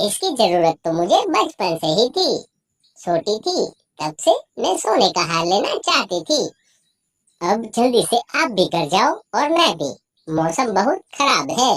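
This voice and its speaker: A cartoonish character voice with a fairly high pitch and very wide pitch swings. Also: moderate pace. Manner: boastful, scornful.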